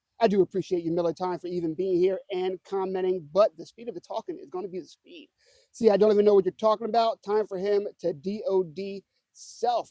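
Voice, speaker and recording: A man talks at a fairly quick pace in a high pitch with a dark, mellow tone. His loudness swings widely, and the sound is dry and close with no echo. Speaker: news show host. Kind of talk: casual news commentary. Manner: fast; animated.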